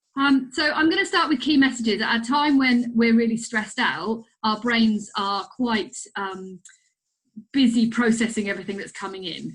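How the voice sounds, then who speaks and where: This woman's pitch sits fairly high. Her intonation is lively. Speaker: clinical psychologist. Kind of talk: recorded webinar presentation. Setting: recorded online presentation with slides. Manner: fast; hesitant, many fillers.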